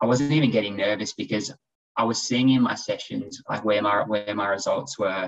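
The speaker is a man with an Australian accent. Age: 20s. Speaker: former professional triathlete, exercise physiologist. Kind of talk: casual interview chat.

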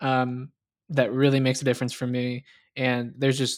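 Using an ordinary speaking voice, a man of medium pitch talks at a fairly quick pace with an American accent. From US South. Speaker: podcast co-host. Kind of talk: casual chat.

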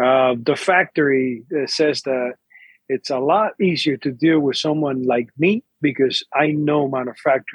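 At a moderate pace, a man with medium pitch and ordinary pitch variation talks in a normal speaking voice, with a dry, close sound and no echo. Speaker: cigar company owner. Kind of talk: interview.

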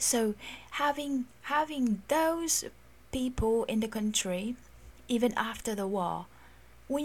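At a fairly slow pace, a woman talks in a somewhat breathy voice with lively intonation. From Philippines. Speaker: podcast host. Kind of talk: scripted-style solo podcast monologue. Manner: friendly, enthusiastic.

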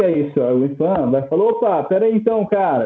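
Lively intonation fills this man's speech. He keeps to a moderate pace. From Brazil, Minas Gerais (Poços de Caldas). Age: 30s. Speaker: archaeologist. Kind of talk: casual interview chat.

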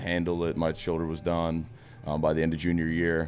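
A man speaks at a very fast pace in a very deep, low voice. Music plays in the background. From Philadelphia area, Pennsylvania. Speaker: weightlifting coach. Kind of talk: casual chat.

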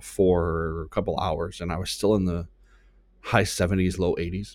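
This man talks at a moderate pace with fairly even intonation and a very deep, low pitch. The recording is very clean, with a silent background. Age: 30s. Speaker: podcast host and marketing business owner. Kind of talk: solo podcast monologue; motivational talk.

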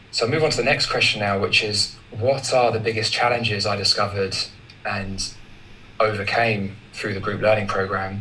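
Over noticeable background noise, a man talks at a fairly low pitch with fairly even intonation. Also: moderate pace. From England. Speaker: co-host and discussion moderator. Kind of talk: group discussion. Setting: video call.

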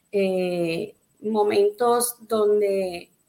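A woman is speaking. Her pitch is fairly high. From Puerto Rico. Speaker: pastor. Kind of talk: testimony; preaching-style exhortation.

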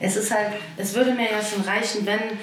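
Here a woman talks at a moderate pace and a medium pitch, with monotone, flat intonation. Room echo is audible and background noise is noticeable. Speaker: amateur football coach. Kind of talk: casual chat. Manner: speeds up when worked up.

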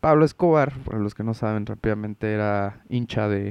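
With a Mexican accent, a man speaks at a fairly slow pace and a fairly low pitch, the sound dry and close with no echo. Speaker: podcast host. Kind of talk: casual chat. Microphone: no headphones, audio may echo double.

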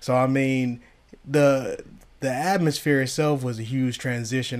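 A man talks in a medium pitch. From US, inner city. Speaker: podcast co-host. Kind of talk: casual chat.

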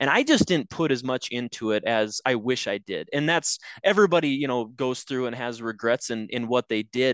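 This man talks at a moderate pace with hardly any pauses, medium pitch and ordinary pitch variation, in a dry, close sound with no echo. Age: 30s. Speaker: college track and cross country head coach. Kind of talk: casual interview. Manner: halting, many fillers.

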